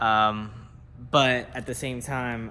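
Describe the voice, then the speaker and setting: Music plays in the background and the room echo is audible, while the pitch varies in an ordinary way. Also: man. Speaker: car builder showing a vehicle project. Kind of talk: casual workshop video tutorial.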